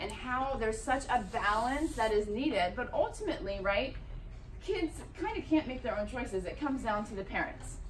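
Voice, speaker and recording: In a room with audible echo and noticeable background noise, a woman speaks loudly at a moderate pace with a high pitch. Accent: American. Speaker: parenting speaker. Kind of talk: public talk.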